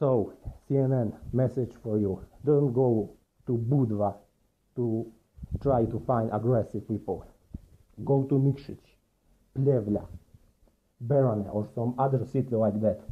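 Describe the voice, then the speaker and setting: A man's fairly slow speech with long, frequent pauses and fairly even intonation. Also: medium pitch for a man. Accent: Montenegrin. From Montenegro. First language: Montenegrin. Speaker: commentator. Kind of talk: video commentary.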